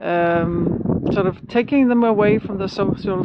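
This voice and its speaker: A woman speaks with ordinary pitch variation. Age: 60s. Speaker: solo sailor vlogger. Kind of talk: casual vlog monologue. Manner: halting, many fillers.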